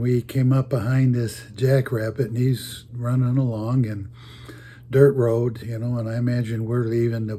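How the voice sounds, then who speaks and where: At a fairly slow pace, a man speaks at a medium pitch in a dark, mellow, somewhat breathy tone with monotone, flat intonation. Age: 80s+. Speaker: storyteller. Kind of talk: casual storytelling. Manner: halting.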